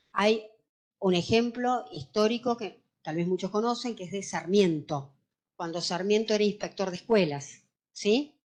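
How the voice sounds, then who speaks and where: Her medium-pitched voice carries lively intonation as the woman speaks. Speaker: lawyer teaching a course. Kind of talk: lecture. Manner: hesitant fillers.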